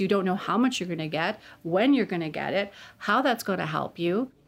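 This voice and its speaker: A woman speaking at a fairly quick pace over music in the background. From Alberta. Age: 40s. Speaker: law student. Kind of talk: interview.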